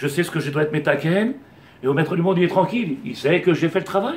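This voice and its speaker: A high-pitched man talks at a fairly quick pace with ordinary pitch variation. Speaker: rabbi. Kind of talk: Torah lesson. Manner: fast; animated.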